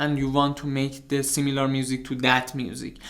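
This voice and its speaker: With a non-native accent, a man speaks at a fairly quick pace. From outside US, UK and Canada. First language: not English. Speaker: music producer, YouTuber. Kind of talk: tutorial. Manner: halting.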